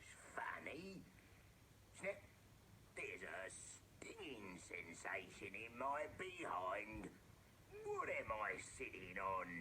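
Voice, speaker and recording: A put-on character voice with a rumbling quality speaks at a very slow pace, with long, frequent pauses over clear background noise. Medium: audio drama. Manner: grumbling, villainous.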